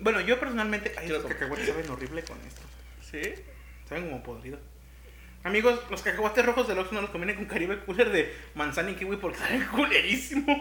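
Over noticeable background noise, a man with a Mexican accent talks very fast in a high-pitched, raised, projected voice. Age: 30s. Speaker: podcast co-host. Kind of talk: casual chat. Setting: home-made studio.

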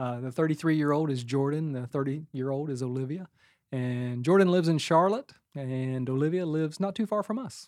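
A plain, everyday voice with an American accent speaks at a fairly quick pace with ordinary pitch variation. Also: man, fairly high pitch for a man. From West Virginia. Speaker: pastor. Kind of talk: testimony.

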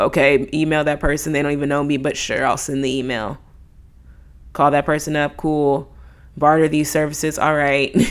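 Monotone, flat intonation marks this woman's speech. Her pitch is very deep and low. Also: moderate pace. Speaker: podcast host. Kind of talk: faith devotional talk. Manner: unscripted, occasional stutter.

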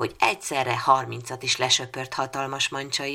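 It is simply plain reading aloud.

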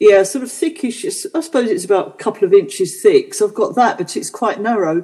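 A somewhat breathy, dark, mellow voice at a fairly quick pace, with very wide pitch swings, big swings in loudness and hardly any pauses. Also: woman, fairly high pitch for a woman. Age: 60s. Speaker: podcast co-host. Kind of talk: casual chat.

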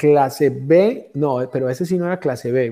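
Here a man speaks with a dark, mellow tone. His pitch is fairly high, with ordinary variation. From Colombia. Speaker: comedian and storyteller. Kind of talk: casual chat.

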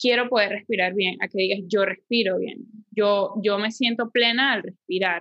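In a Venezuelan accent, a woman with a fairly high pitch speaks at a fairly slow pace with fairly even intonation. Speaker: yoga teacher and podcast co-host. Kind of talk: casual chat. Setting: home living room.

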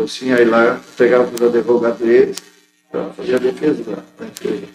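Over music in the background, a man with a medium pitch speaks at a fairly quick pace, his loudness swinging widely. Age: 60s. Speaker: union official and factory worker. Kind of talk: interview. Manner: halting.

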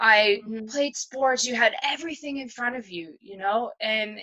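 This woman has a plain, everyday voice with ordinary pitch variation. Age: 40s. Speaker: guest sharing personal loss story. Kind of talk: casual interview, personal testimony.

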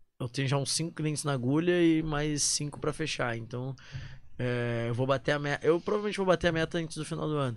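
A man speaks at a moderate pace with ordinary pitch variation in a normal speaking voice. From southern Brazil, Porto Alegre. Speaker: digital marketing professional. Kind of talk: casual chat.

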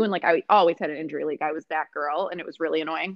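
Talking very fast, a woman speaks with an American accent. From US, Rochester, New York. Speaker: mental health counselor and food business owner. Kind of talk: casual interview.

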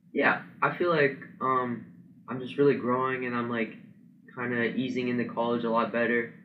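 There's audible room echo as a man with an American accent talks at a moderate pace, medium pitch and fairly even intonation. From central Ohio. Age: young. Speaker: college wrestler. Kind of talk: interview.

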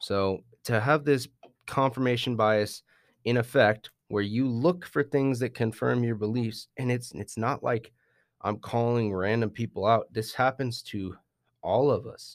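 In a normal speaking voice, a man talks at a fairly slow pace with medium pitch and ordinary pitch variation, recorded very cleanly against a silent background. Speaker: podcast host. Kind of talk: casual podcast chat.

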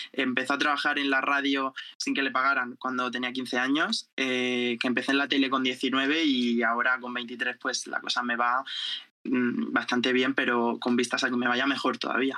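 Pacing himself fairly slowly, a man speaks at a medium pitch with a bright, sharp tone. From Spain, Murcia (Jumilla). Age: 20s. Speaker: journalist and TikToker. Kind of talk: casual chat.

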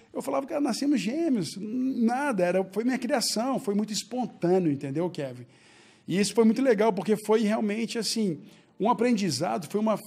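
Lively intonation marks this man's high-pitched voice. He talks at a moderate pace. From Brazil, Belo Horizonte. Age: 40s. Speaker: entrepreneur. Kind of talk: casual interview.

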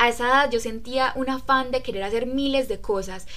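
A woman with a fairly high pitch speaks at a moderate pace amid audible room echo. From Colombia, Riosucio, Caldas. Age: 20s. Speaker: book club podcast member. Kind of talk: casual chat.

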